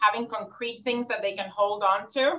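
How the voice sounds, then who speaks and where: In a Puerto Rican accent, a woman talks with a fairly high pitch and a bright, sharp tone. Her intonation stays fairly even. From Puerto Rico. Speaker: social work professor. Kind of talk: panel conversation. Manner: fast.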